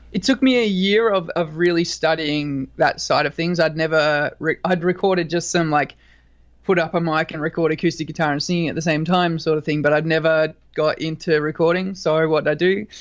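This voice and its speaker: Fairly quick speech from a man with a fairly high pitch and an Australian accent, fairly even intonation, and a quiet background. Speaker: rock band singer and guitarist. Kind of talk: interview. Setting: video call.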